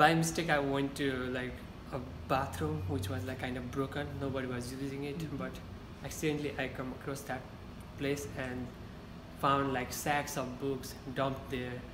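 With a Nepali accent, a man speaks at a medium pitch. Background noise is noticeable. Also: ordinary pitch variation, moderate pace. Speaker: university student. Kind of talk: interview answer. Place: meeting room. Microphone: camera far.

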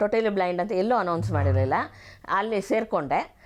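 A woman speaks at a medium pitch in a quiet background. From Bangalore, Karnataka, India. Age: 50s. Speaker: blind author and activist. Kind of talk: interview. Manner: lively.

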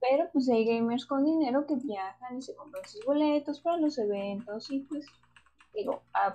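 In a Mexican accent, a woman with a high pitch and a dark, mellow tone talks at a fairly slow pace. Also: lively intonation. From Mexico. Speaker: podcast co-host. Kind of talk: casual chat.

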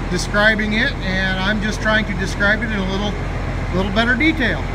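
The speech comes at a fairly quick pace over loud background noise. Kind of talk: tutorial. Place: garage. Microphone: phone near.

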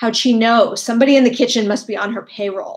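In a raspy put-on character voice, a woman talks at a very fast pace and a fairly high pitch. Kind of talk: dramatic story reading. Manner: whimpering, anxious.

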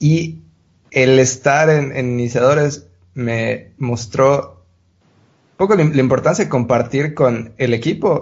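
Very slowly and with vocal fry, a man talks at a medium pitch with ordinary pitch variation. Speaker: podcast host and producer. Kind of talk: casual chat.

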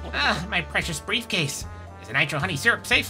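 A croaky, put-on character voice at a low-to-middle pitch moves at a fairly quick pace. Clear music plays behind it. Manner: theatrical, fussy.

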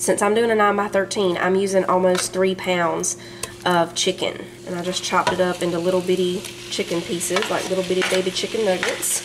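With noticeable background noise behind her, a woman speaks with fairly even intonation. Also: fairly quick pace. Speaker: home cook vlogger. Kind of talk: cooking tutorial. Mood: cheerful, relaxed. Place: kitchen.

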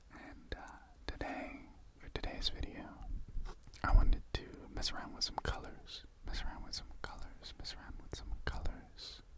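Whispering in a relaxed tone, a man talks at a moderate pace with long, frequent pauses. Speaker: ASMR creator. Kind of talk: ASMR trigger video, casual talk to camera. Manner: soft, relaxed, whispery. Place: home room. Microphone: studio mic.

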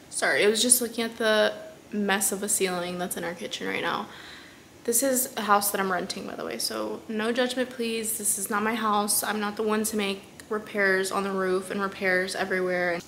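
There is noticeable background noise behind a woman speaking. She keeps a moderate pace and fairly even intonation. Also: medium pitch for a woman. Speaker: law student vlogger. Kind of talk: casual vlog. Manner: chatty.

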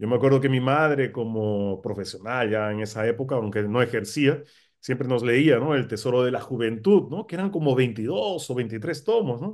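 Male speech at a moderate pace, with ordinary pitch variation, over a quiet background. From Peru, Lima; Peru. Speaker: political scientist and professor; interview guest. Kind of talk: interview; interview answer. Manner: halting, with many fillers. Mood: relaxed, reminiscing. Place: home room. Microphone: video call.

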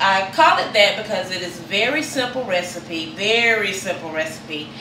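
Noticeable background noise sits behind a woman who speaks at a fairly slow pace. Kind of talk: cooking tutorial. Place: kitchen. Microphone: camera far.

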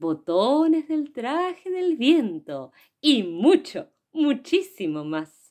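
Over a quiet background, a woman's voice moves in very wide pitch swings. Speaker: poet and poetry reader. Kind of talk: poetry reading aloud for children. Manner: soft, playful, hushed, confiding. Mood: playful, warm, animated. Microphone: phone near.

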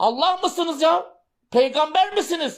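A man's voice with ordinary pitch variation. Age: 50s. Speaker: political commentator and former parliamentary candidate. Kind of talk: political address to young voters on a livestream.

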